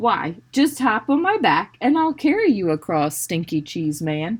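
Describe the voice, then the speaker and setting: A female-sounding put-on character voice, fairly high in pitch with very wide pitch swings, at a moderate pace in a very clean recording with a silent background. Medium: read story. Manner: sly.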